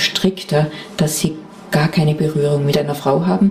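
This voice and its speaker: Ordinary pitch variation from a female speaker, with noticeable background noise. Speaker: buddhist nun and meditation teacher. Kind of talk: interview.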